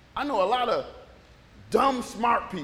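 Amid noticeable background noise and audible room echo, a man uses a raised, projected voice at extremely high pitch with lively intonation. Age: 60s. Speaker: pastor. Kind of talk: informal conversational sermon with scripture reading and call-and-response amens. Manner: loose, chatty and animated, with frequent repetitions, stumbles and laughter; audience-engaging, prompting amens and joking with the congregation.

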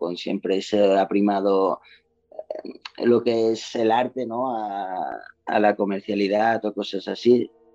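Very slow delivery from a man with a fairly low pitch and fairly even intonation. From Mallorca, Spain. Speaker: singer-songwriter. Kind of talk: interview.

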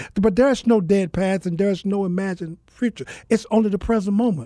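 A man with an American accent, at a moderate pace and with ordinary pitch variation, in a very clean recording with a silent background. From US South (Mississippi). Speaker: author and speaker. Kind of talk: interview testimony.

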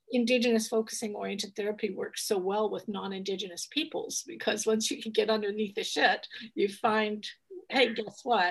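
This woman's voice is somewhat breathy, moving at a moderate pace with ordinary pitch variation. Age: 60s. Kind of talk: interview; guided meditation. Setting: video call.

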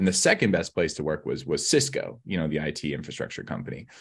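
A man talks at a very fast pace with vocal fry and very wide pitch swings. The background is quiet. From British Columbia, Canada (Southeast Kootenays). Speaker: author and keynote speaker on workplace culture. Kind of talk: interview conversation.

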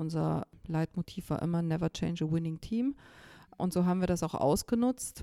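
Her fairly low, dark, mellow voice has a dry, close sound with no echo. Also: ordinary pitch variation, moderate pace, very even loudness. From East Germany, rural. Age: 50s. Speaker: organisation director. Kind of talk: interview.

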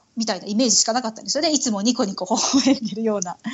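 With noticeable background noise behind her, a woman talks at a fairly high pitch. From Tokyo, Japan (Itabashi ward). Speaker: Japanese expat mother. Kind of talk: casual interview chat.

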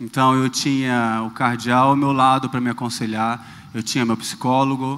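A man's medium-pitched voice carries fairly even intonation and moves at a moderate speed. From Rio de Janeiro, Brazil. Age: 30s. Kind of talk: talk on stage.

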